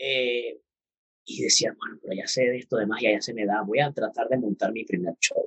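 The speaker has a Venezuelan accent. The pace is moderate. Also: man. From Venezuela, Puerto Ordaz. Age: 30s. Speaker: magician and math teacher. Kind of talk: casual interview. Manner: animated.

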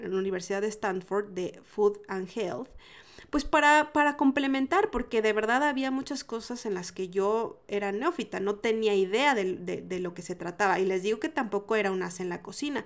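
A woman with a Mexican accent speaks at a moderate pace and fairly high pitch, in an animated tone with lively intonation. The recording is very clean, with a silent background. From Mexico. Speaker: food podcast host and entrepreneur. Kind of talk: casual solo podcast monologue.

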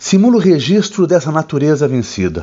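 A man with an unremarkable speaking voice talks with lively intonation and a fairly high pitch. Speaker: book reviewer host. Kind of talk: dramatic literary narration, solemn and elegiac book recommendation. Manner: grave, measured, somber and poetic, with theatrical pauses; formal, deliberate, evocative delivery.

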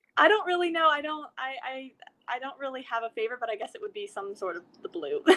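With an American accent, the raised, projected voice races at a very fast pace, showing very wide pitch swings and big swings in loudness. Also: woman, high pitch for a woman. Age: 20s. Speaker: professional swimmer. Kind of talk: interview.

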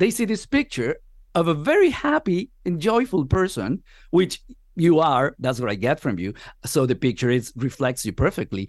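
A man's fairly high voice with vocal fry and very wide pitch swings, at a moderate pace, against a quiet background. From Venezuela. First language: Spanish. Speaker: podcast host. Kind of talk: interview.

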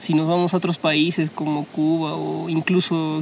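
There is noticeable background noise as a man speaks at a high pitch. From Peru, Huancayo. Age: 20s. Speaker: architecture student. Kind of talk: casual chat.

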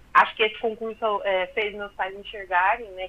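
This woman has an ordinary speaking voice, a fairly high pitch and a moderate pace. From southern Minas Gerais, Brazil. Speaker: fashion designer and social media illustrator. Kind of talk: radio interview.

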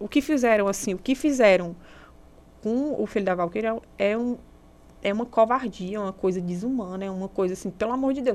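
Speaking at a fairly quick pace yet with long, frequent pauses, a woman uses a fairly high pitch with ordinary pitch variation. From Brazil, interior of Ceará (Serra da Ibiapaba). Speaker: architect and influencer, domestic violence survivor. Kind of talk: interview testimony.

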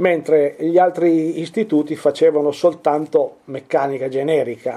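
This man has a fairly high pitch. His tone is dark and mellow. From Piedmont, Italy (Turin). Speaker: furniture and object restorer. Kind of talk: interview. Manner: halting.

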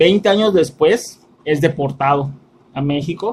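A man speaks in a Mexican accent at a fairly high pitch. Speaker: podcast host, film reviewer. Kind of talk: casual chat; plot summary.

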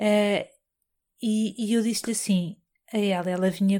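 The speaker has a European Portuguese accent and fairly even intonation, in a very clean recording with a silent background. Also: woman. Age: 40s. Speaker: podcast host. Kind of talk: personal monologue. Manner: halting, many fillers and repetitions.

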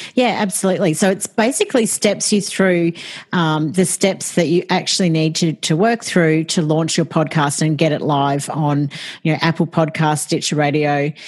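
In an Australian accent, the voice holds a calm tone and very even loudness. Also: woman, fairly low pitch for a woman, ordinary pitch variation, moderate pace. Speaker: podcast support business owner. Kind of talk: interview conversation.

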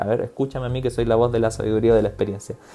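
This man's voice rests at a medium pitch. A dark, mellow tone colors it. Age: 30s. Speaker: psychiatrist. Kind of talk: casual chat.

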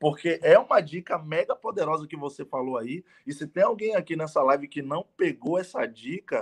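Recorded with a dry, close sound and no echo, a man with an unremarkable speaking voice talks fairly slowly at a fairly high pitch with lively intonation. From Bahia, Brazil (Salvador). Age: 30s. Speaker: network marketing entrepreneur. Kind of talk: interview. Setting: live stream.

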